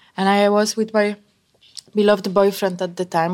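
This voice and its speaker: Here a woman is speaking. She has a Polish accent. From Poland, mountain village. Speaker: pastry chef. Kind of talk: casual interview.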